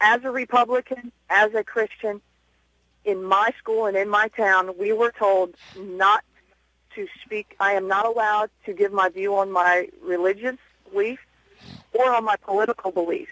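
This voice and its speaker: In a bright, sharp tone with fairly even intonation, a woman speaks at a moderate pace with long, frequent pauses, the sound dry with no echo and the background quiet. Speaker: radio caller, schoolteacher. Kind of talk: call-in talk radio.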